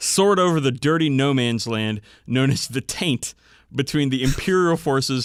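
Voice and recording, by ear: The text is read aloud in a natural voice.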